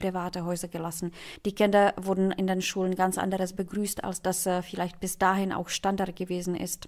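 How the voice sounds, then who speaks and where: A woman talks at a fairly quick pace in a medium pitch, her intonation flat and monotone. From Czechoslovakia. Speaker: state integration commissioner. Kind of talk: panel discussion.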